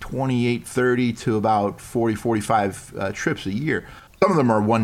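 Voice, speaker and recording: With music playing in the background, a man with an American accent talks in a fairly low voice with ordinary pitch variation. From New York. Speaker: improv performer and golfer. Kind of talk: casual interview chat. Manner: rambling, hesitant with fillers.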